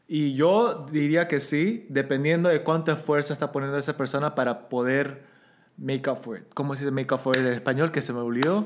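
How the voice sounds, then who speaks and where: With an unremarkable speaking voice, a man talks fairly quickly in a fairly high pitch, his pitch varying in an ordinary way. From Bolivia. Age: 30s. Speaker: podcast guest. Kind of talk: casual chat. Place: home room. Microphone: studio mic.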